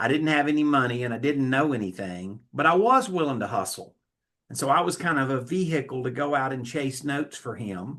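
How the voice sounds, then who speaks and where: Fairly quick speech from a man with a fairly high pitch and a bright, sharp tone over a quiet background. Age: 60s. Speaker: note investor and educator. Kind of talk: podcast interview. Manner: frequent false starts and repetitions.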